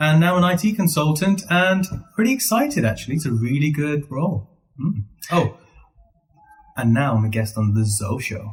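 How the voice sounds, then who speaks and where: With music in the background, a man speaks in a Birmingham accent at a moderate pace, his fairly high voice taking very wide pitch swings in a playful tone, broken by long, frequent pauses. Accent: Birmingham English, shaped by school. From Birmingham, England (Handsworth). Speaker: IT consultant. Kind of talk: casual chat.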